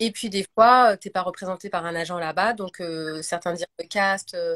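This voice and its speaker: A woman's fairly low voice at a fairly quick pace, very clean recording with a silent background, dry and close with no echo. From France. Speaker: actress. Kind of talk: casual chat. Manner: hesitant, many fillers.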